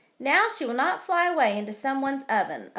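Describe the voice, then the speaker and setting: A woman puts on a character voice, pitched high and swinging very widely. She talks at a fairly quick pace. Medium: read story.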